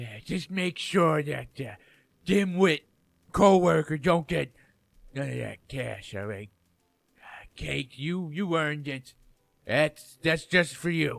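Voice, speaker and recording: A man's raspy, cartoonish character voice, fairly high in pitch and fairly slow, with lively intonation, big swings in loudness and long, frequent pauses. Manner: grumpy, accusatory.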